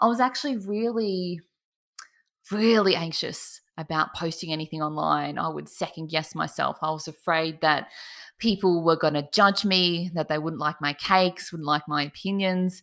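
A woman with an Australian accent, fairly low in pitch, ordinary pitch variation, moderate pace. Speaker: cake artist. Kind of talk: interview. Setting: video call. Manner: animated.

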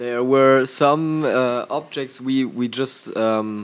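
With a German accent, a man talks at a very slow pace and fairly even intonation. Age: young. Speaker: rock drummer. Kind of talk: interview. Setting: concert venue.

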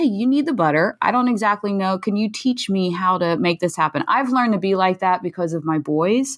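A woman has a plain, everyday voice at a medium pitch with ordinary pitch variation. Her pace is fairly quick. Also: very clean recording, silent background. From US, Philadelphia. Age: 40s. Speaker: nonprofit founder and mom of blind sons. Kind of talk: interview, personal story.

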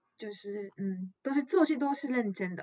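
Her tone dark and mellow, a woman speaks at a very slow pace with very wide pitch swings. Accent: Japanese. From Japan. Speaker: guest. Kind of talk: casual podcast interview. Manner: halting, searching for words.

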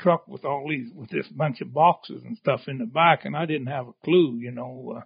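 An American-accented man speaks at a moderate pace, at a fairly high pitch with ordinary pitch variation. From Idaho, US. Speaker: lion hunter with hounds. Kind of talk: casual interview storytelling.

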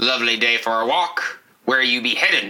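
Putting on a character voice, a man speaks at a moderate pace with a medium pitch and ordinary pitch variation. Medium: actual play. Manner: unconvincingly polite, sly.

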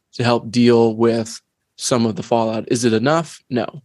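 A man's ordinary speaking voice, medium in pitch, at a moderate pace against a quiet background. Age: 50s. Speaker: educator, podcast co-host. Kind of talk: casual chat.

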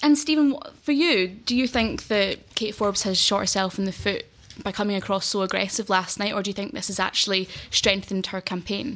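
In a Glaswegian accent, a woman speaks at a medium pitch with ordinary pitch variation. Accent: Glaswegian Scottish. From Glasgow, Scotland.

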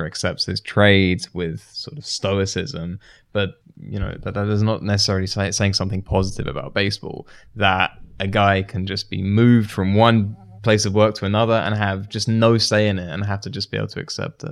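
A man with a British accent speaks fairly quickly at a fairly low pitch, his intonation fairly even, on a very clean recording with a silent background. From UK. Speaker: baseball writer and researcher. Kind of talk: casual discussion. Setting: studio.

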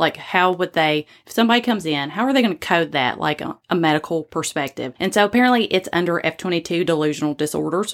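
In a Southern US accent, the speaker talks at a very fast pace with hardly any pauses and lively intonation. The recording is very clean, with a silent background. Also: woman. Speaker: podcast host. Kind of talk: casual storytelling podcast.

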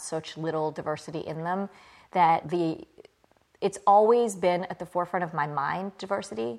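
This woman has an American accent. She speaks at a moderate pace. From US South. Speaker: CEO of a children's media company. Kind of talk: casual interview. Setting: in person.

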